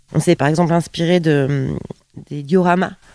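Her dark, mellow voice sits at a fairly low pitch, and the woman keeps a moderate pace with fairly even intonation. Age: 30s. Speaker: actress and stage director. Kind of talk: radio interview. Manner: hesitant, many fillers.

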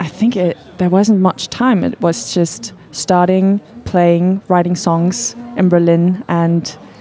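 A woman with a fairly low pitch speaks at a very slow pace with lively intonation. Music plays in the background. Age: 20s. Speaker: singer-producer. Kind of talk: radio interview. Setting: studio.

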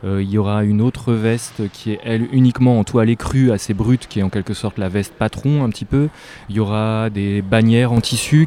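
In a dry, close sound with no echo, a man speaks at a fairly low pitch with ordinary pitch variation. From northern France (near Lille). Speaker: visual artist. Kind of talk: interview. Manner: hesitant, many fillers.

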